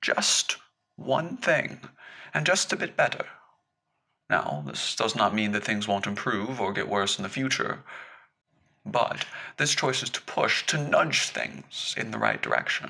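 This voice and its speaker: A man puts on a character voice, wheezy and gentle in tone at a medium pitch. He goes at a fairly slow pace with long, frequent pauses. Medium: read story. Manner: gentle, knowing.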